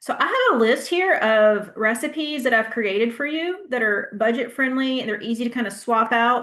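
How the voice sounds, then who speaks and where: Speaking with a Southern US accent, a woman talks at a high pitch with hardly any pauses. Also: ordinary pitch variation. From US South. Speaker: health educator. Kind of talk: Q&A answer; class presentation. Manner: casual, conversational; fast.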